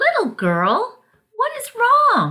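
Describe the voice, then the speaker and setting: A woman's squeaky, put-on character voice. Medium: read story.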